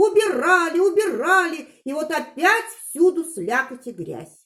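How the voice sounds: Putting on a character voice, a woman speaks at an extremely high pitch with big pitch swings, a fairly bright tone and a fairly slow pace.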